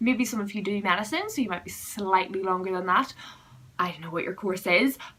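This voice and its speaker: Noticeable background noise accompanies a woman speaking in a Northern Irish accent. Her loudness swings widely. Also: medium pitch for a woman, ordinary pitch variation, fairly quick pace. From Northern Ireland. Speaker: student vlogger. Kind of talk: vlog advice talk.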